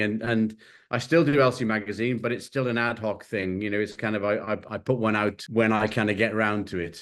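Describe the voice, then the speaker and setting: A man's fairly low voice with an English accent and fairly even intonation, against a quiet background. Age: 60s. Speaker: creative director and collage artist. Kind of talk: interview. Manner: hesitant, many fillers.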